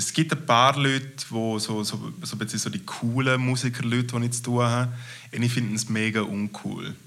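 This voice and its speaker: Speaking at a moderate pace, the man holds a medium pitch with fairly even intonation. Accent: Graubünden Swiss. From Switzerland, Graubünden. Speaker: comedian. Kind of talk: casual interview.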